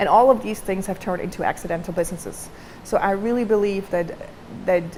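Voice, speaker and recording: Speaking in a non-native accent, a woman talks at a medium pitch. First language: not English. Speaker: designer and entrepreneur. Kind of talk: talk to camera. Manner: casual, with many fillers.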